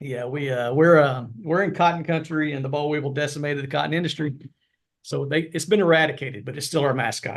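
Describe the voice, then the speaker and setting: At a very fast pace, a man with fairly high pitch speaks with fairly even intonation. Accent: American. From US South (Arkansas). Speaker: veterinarian, professor. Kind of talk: interview podcast.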